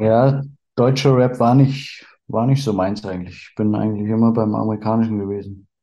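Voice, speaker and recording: In a room with audible echo, a man speaks at a moderate pace and medium pitch with fairly even intonation. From Berlin, teens in Bavaria (Upper Palatinate). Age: 30s. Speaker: trading card collector. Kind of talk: casual chat.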